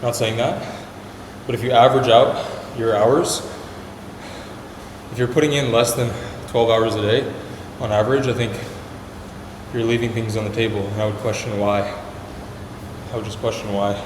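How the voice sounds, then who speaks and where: A man talks at a fairly quick pace in a flat monotone, with long, frequent pauses. There is audible room echo and noticeable background noise. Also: medium pitch for a man. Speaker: startup vlogger. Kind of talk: casual vlog talk while working out.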